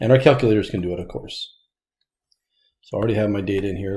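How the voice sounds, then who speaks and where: A man speaks with a dark, mellow tone at a fairly low pitch, somewhat breathy. The recording is very clean, with a silent background. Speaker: statistics teacher. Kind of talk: recorded lecture.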